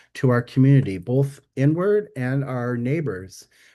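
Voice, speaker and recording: Against a quiet background, a man with an American accent speaks in a dark, mellow tone. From US Midwest. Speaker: stewardship workshop presenter. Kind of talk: webinar presentation. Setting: video webinar. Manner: loud; animated.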